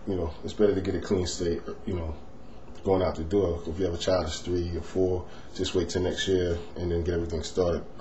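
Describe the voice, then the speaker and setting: The recording has noticeable background noise along with audible room echo. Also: man. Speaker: finance vlogger. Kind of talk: tutorial. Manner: softer than natural tone; hesitant, many fillers.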